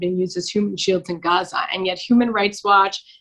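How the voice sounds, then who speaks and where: A woman's medium-pitched, plain, everyday voice with a Canadian accent at a fairly quick pace. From Canada (Toronto). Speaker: lawyer and human rights activist. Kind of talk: podcast interview answer.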